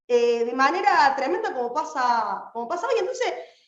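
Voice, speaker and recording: Her pitch is high and swings very widely as this woman speaks at a moderate pace. Audible room echo surrounds her voice. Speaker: political activist. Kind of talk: political speech. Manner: impassioned.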